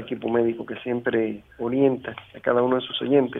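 In a monotone, flat intonation, a man with a medium pitch speaks at a moderate pace. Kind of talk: polite call-in question. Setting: phone call.

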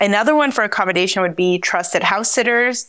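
Bright and sharp in tone, a fairly quick pace with a New Jersey accent. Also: woman. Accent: American, New Jersey. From US Northeast, New Jersey. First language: Spanish. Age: 30s. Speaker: travel entrepreneur. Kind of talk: interview.

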